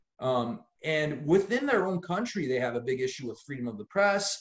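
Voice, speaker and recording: Speaking in an American accent, a man uses a fairly high pitch with very wide swings. His voice is somewhat breathy and his pace fairly quick. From Los Angeles, US. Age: 30s. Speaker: lawyer and activist. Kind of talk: podcast interview. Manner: animated.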